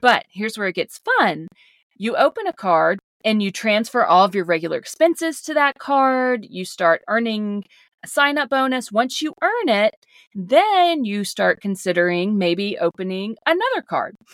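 With a Southern US accent, a woman speaks at a moderate pace and a fairly high pitch, her voice making very wide pitch swings in a dry, close sound with no echo. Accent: Southern American. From US South. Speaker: podcast co-host. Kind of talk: casual chat.

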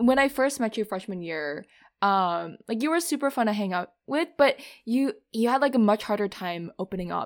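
Heard on a very clean recording with a silent background, an ordinary speaking voice with an American accent carries lively intonation. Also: woman. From Minnesota. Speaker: podcast co-host, bank analyst. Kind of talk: casual chat.

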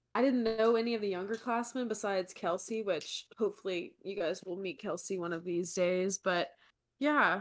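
A normal speaking voice with lively intonation at a moderate pace, on a very clean recording with a silent background. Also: woman. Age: 20s. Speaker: podcast co-host, sales worker. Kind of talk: casual chat.

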